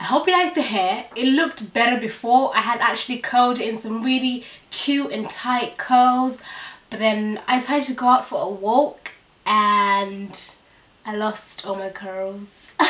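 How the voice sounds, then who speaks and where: A woman with a high pitch speaks fairly slowly, with ordinary pitch variation. Noticeable background noise can be heard. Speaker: fashion vlogger. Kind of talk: try-on haul. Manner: chatty, animated.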